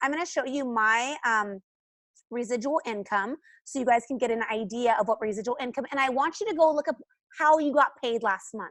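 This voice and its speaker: High-pitched woman's voice at a fairly quick pace, ordinary pitch variation, quiet background. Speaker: essential oils team leader. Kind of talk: team training call. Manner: fast.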